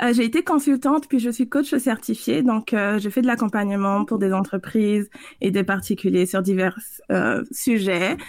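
Her voice is an ordinary speaking voice, a woman's at a fairly high pitch with ordinary pitch variation, moving at a moderate pace with very even loudness. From French Guiana. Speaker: consultant and coach. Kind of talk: interview.

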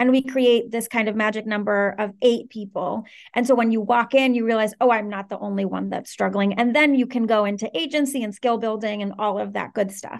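A woman's a plain, everyday voice with an American accent, fairly quick and fairly even in intonation, over a quiet background. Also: fairly high pitch for a woman. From Venezuela and Washington D.C. area. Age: 30s. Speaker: startup co-founder and COO. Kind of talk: podcast interview.

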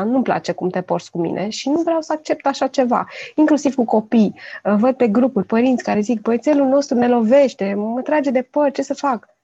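Her high-pitched, dark and mellow voice moves at a fairly quick pace with lively intonation, the woman recorded dry and close with no echo. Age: 40s. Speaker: parenting blogger and children's author. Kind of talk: casual chat.

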